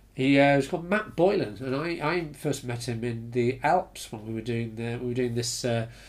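A man with a British accent talks at a medium pitch with ordinary pitch variation. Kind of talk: casual chat.

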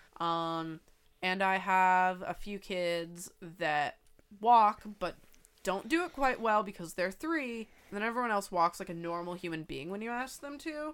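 A woman's plain, everyday voice, medium in pitch with lively intonation, at a fairly slow pace on a very clean recording with a silent background. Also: big swings in loudness. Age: 20s. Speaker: podcast co-host. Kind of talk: casual chat. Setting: home microphone recording.

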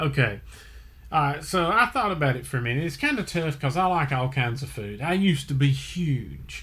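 This man speaks at a fairly high pitch with a bright, sharp tone, some vocal fry and lively intonation. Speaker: podcast host. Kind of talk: casual chat.

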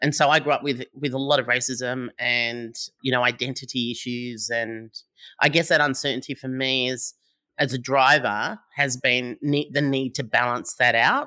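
On a very clean recording with a silent background, a woman with an Australian accent speaks at a moderate pace in a very deep, low pitch, her tone bright and sharp and her intonation monotone and flat. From Australia, New South Wales (Sydney, Howlong near Albury). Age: 50s. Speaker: entrepreneur, startup founder. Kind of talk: interview.

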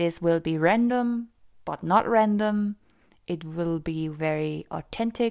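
A woman with a German accent speaks very slowly. Her pitch is fairly low, with ordinary variation. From Austria. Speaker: life and mindset coach. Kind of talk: podcast monologue.

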